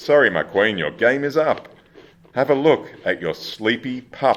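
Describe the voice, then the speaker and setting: A man's put-on character voice, sing-song, at medium pitch and a moderate pace. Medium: stage play. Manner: sing-song rhyming.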